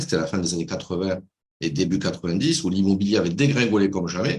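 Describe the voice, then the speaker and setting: With a slight southwestern French accent, a man talks at a fairly quick pace in a very deep, low voice, his intonation lively. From southwestern France, Toulouse. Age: 60s. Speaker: business coach, former banker. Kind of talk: video call interview.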